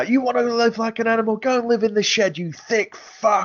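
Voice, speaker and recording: A man puts on a character voice at an extremely high pitch, talking at a fairly quick pace. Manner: venomous, harsh, bitter.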